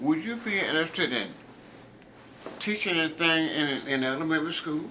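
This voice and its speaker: Fairly high male voice with a Southern US accent, fairly quick pace, noticeable background noise. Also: ordinary pitch variation. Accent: Southern American English. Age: 80s+. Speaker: retired school teacher. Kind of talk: interview answer.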